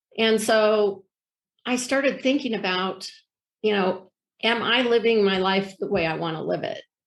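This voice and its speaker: Long, frequent pauses from a woman with a fairly high pitch and ordinary pitch variation. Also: moderate pace. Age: 60s. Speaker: life coach. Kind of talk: interview testimony. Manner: halting, many fillers.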